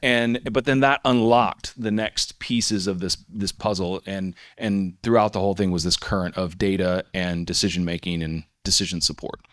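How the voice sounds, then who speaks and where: In a plain, everyday voice with an American accent, the speaker keeps a moderate pace with hardly any pauses and ordinary pitch variation, captured in a very clean recording with a silent background and a dry, close sound with no echo. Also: man, fairly low pitch for a man. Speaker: software company CEO. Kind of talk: conference panel talk.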